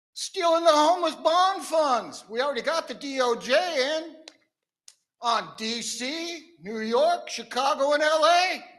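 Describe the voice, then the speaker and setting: A man speaks at an extremely high pitch and a fairly slow pace. His tone is animated. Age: 70s. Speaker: public commenter, activist. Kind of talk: public comment. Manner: animated, combative.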